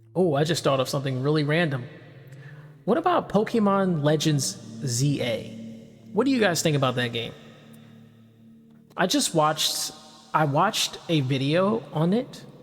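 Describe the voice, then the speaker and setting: With music in the background, a man speaks at a fairly high pitch and moderate pace, with lively intonation and long, frequent pauses. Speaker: VTuber. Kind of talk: casual rambling talk for sleep background. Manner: soft-spoken, relaxed.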